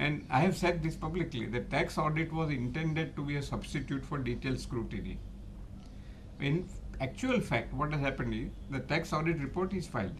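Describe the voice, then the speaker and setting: Speaking at a fairly quick pace with a fairly high pitch and vocal fry, a man uses ordinary pitch variation amid audible room echo. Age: 80s+. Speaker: chartered accountant and tax expert. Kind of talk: interview.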